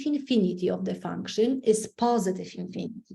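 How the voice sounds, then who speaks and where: At a moderate pace, a woman speaks in a dark, mellow tone with vocal fry. Her pitch varies in an ordinary way. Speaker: math teacher. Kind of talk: lecture. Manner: loud.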